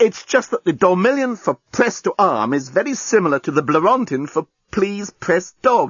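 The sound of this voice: Putting on a character voice, a man speaks high in pitch with big pitch swings, a fairly bright tone and a slightly husky edge, recorded with a dry, close sound and no echo. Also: moderate pace.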